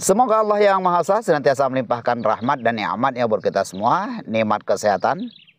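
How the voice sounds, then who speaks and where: Pitch moves in very wide swings at a fairly quick pace. The sound is dry with no echo. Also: man. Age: old. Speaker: herbal remedy seller. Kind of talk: tutorial. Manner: hesitant filler-heavy. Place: waterside.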